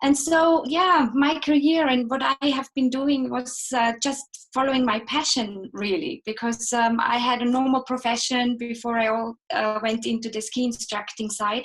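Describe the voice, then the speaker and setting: A high-pitched woman's voice with an Austrian accent, at a moderate pace with hardly any pauses and ordinary pitch variation. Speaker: ski instructor and guide. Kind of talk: interview, live chat.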